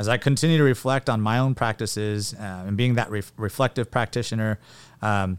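A man with a Californian accent at a fairly quick pace, in a very clean recording with a silent background. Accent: Californian American English. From California Central Valley (Porterville). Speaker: high school principal. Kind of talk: interview.

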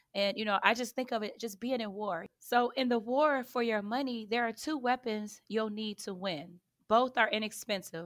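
At a moderate pace with hardly any pauses, a woman with a slight Chicago urban accent speaks at a fairly high pitch and ordinary pitch variation. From Chicago south side, US. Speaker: financial educator. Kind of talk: interview, informative talk.

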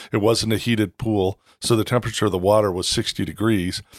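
An ordinary speaking voice moves at a fairly quick pace with fairly even intonation, captured dry and close with no echo. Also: man. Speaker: podcast host. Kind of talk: casual interview. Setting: in person, Bozeman.

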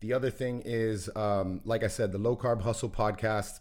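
A man talks at a moderate pace in an unremarkable speaking voice. The recording is very clean, with a silent background. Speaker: podcast host. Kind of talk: casual chat. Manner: casual, chatty.

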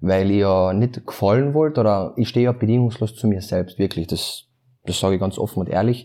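The voice has a dark, mellow tone and ordinary pitch variation. It moves at a fairly quick pace on a very clean recording with a silent background. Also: man, fairly low pitch for a man. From Austria, Carinthia (Klagenfurt). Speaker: influencer and musician. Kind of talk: casual interview chat. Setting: office.

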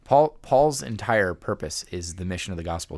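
A man talks at a moderate pace. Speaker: church member guest. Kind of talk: casual chat and scripture reading. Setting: studio with shared microphones.

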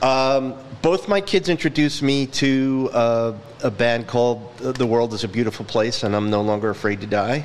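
A man with a medium pitch and normal pitch movement talks while background noise is clearly audible. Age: 50s. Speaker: podcast host. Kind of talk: casual interview. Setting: studio.

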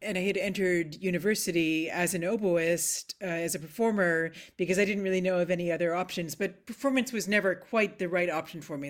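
A woman's fairly low voice, an unremarkable speaking voice, with a Canadian accent, ordinary pitch variation and a fairly quick pace, in a very clean recording with a silent background. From Nova Scotia, Canada (Halifax). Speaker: composer. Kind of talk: interview conversation.

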